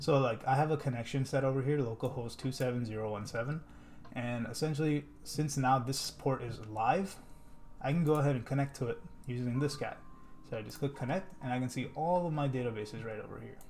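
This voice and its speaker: A man talks fairly quickly in a somewhat breathy voice, medium in pitch with ordinary variation. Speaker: software developer. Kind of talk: coding tutorial. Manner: casual.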